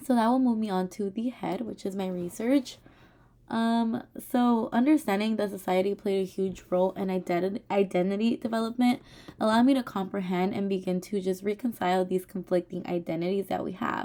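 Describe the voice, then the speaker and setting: On a very clean recording with a silent background, a woman at a medium pitch speaks at a fairly quick pace in a dark, mellow tone, with ordinary pitch variation. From Richmond, California. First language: Spanish. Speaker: teacher. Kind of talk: oral presentation. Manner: hesitant, many fillers.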